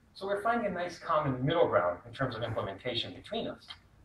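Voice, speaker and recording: A man talks at a very fast pace with an American accent. Noticeable background noise and audible room echo fill the recording. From US, born in Pakistan, raised in America. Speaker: student presenter. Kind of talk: class presentation.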